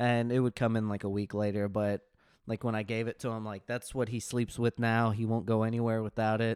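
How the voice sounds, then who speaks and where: A man with an American accent talks at a fairly quick pace and medium pitch, his intonation monotone and flat. The sound is dry and close with no echo, in a very clean recording with a silent background. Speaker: podcast co-host. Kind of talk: casual chat.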